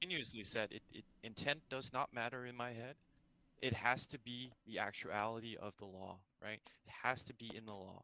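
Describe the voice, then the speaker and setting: The voice is bright and sharp, with fairly even intonation, big swings in loudness, and a moderate pace. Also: man, medium pitch for a man. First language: not English. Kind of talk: heated debate.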